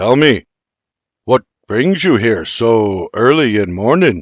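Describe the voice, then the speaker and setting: A man puts on a character voice, medium in pitch with very wide pitch swings. He speaks at a fairly slow pace with very even loudness. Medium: read story. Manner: direct, terse.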